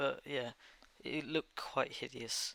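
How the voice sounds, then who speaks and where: A man's medium-pitched voice with a bright, sharp tone and a Danish accent. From Denmark. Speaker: gaming YouTuber. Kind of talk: gameplay commentary over time lapse. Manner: halting.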